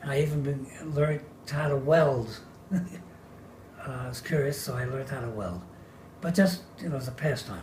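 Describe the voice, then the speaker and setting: A man speaks with a fairly high pitch and long, frequent pauses. Noticeable background noise runs under his voice. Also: ordinary pitch variation, fairly quick pace. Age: 90s. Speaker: retired draftsman. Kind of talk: oral history interview answer.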